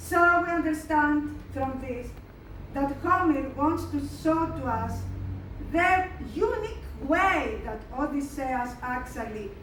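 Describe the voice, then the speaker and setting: A high-pitched woman with a Greek accent talks at a very slow pace with lively intonation, amid noticeable background noise and audible room echo. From Greece. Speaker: lecturer. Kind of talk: lecture. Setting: museum hall with audience. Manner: halting.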